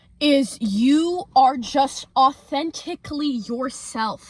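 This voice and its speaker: Loud and animated in tone, a woman speaks with ordinary pitch variation. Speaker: lifestyle youtuber. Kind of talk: casual vlog monologue.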